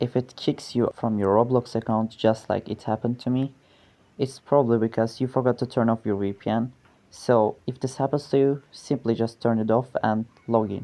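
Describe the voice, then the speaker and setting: In a non-native accent, the speaker moves at a moderate pace. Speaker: gaming tutorial maker. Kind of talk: tutorial voiceover.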